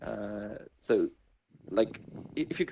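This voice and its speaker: A man mumbling. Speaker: NFT game project team member. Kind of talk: casual interview chat. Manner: halting, many fillers.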